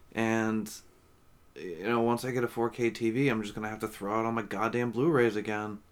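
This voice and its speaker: This man's pitch is medium, and his intonation is monotone and flat. He talks at a fairly quick pace. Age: 30s. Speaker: podcast co-host. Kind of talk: casual chat.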